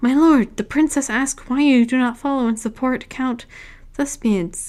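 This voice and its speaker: Putting on a character voice, a woman sounds shrill and high-pitched at a moderate pace. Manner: eager.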